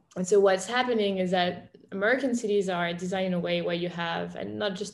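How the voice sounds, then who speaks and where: A woman with a French accent speaks at a fairly quick pace. Her pitch is medium and her intonation fairly even. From France. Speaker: startup founder and CEO. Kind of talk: interview. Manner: casual with frequent fillers.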